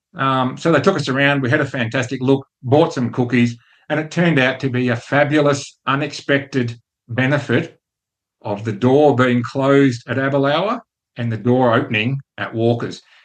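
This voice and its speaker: With fairly even intonation and a moderate tempo, this is an unremarkable speaking voice. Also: man, medium pitch for a man. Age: 60s. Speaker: podcast host. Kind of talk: casual monologue with business lesson.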